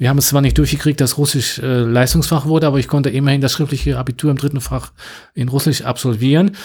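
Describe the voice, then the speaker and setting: A man with a medium pitch talks at a very fast pace, his voice somewhat breathy. His intonation stays fairly even and his loudness very even. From western Germany (North Rhine-Westphalia). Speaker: Russian language teacher. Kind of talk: interview.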